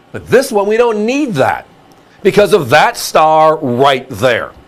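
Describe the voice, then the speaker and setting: Vocal fry runs through this man's voice. He moves at a fairly slow pace with very wide pitch swings. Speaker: shopping channel coin seller. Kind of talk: sales pitch. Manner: animated.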